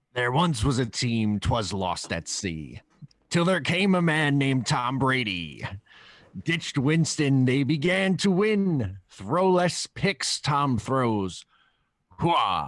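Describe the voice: Using a put-on character voice, a man at medium pitch speaks very slowly.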